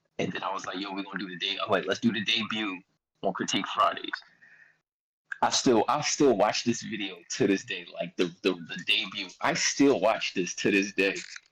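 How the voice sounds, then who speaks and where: A man speaks with a Philadelphia accent. His pace is moderate. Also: long, frequent pauses. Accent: Philly. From Philadelphia, US. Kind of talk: casual chat. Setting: live-streamed podcast. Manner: animated.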